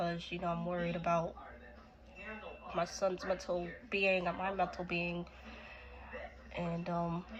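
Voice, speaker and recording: Over noticeable background noise, a woman speaks at a fairly slow pace and fairly low pitch, monotone and flat, with long, frequent pauses. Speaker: vlogger sharing personal story. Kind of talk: personal testimony. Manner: hesitant, many fillers.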